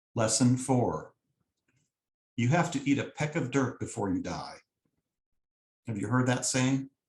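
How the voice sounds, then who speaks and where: A man's somewhat breathy voice at medium pitch, fairly slow, with long, frequent pauses and ordinary pitch variation. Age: 50s. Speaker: lay speaker, copy editor. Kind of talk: sermon-style talk.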